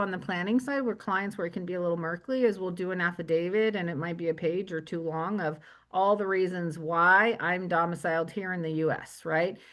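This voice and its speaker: This woman has a normal speaking voice at medium pitch with ordinary pitch variation, talking at a fairly quick pace with hardly any pauses over a quiet background. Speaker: estate planning and tax attorney. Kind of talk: webinar presentation.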